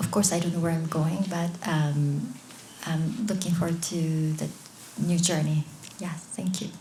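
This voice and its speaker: A woman with a Japanese accent speaks slowly at a fairly low pitch, with fairly even intonation and long, frequent pauses, amid audible room echo and noticeable background noise. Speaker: author. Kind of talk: Q&A answers; reading aloud. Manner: halting.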